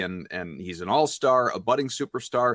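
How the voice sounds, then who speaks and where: A man in an ordinary speaking voice talks at a fairly quick pace and medium pitch, on a very clean recording with a silent background and a dry, close sound with no echo. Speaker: radio sports reporter. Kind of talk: sports talk, analysis. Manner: conversational, rapid, opinionated.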